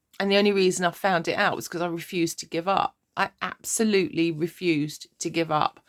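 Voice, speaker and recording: A speaker with a southern English accent talks at a fairly quick pace with hardly any pauses and fairly even intonation. The recording is very clean, dry and close, with no echo and a silent background. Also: woman, fairly low pitch for a woman. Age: 60s. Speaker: life coach vlogger. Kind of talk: personal vlog monologue. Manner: casual, rambling.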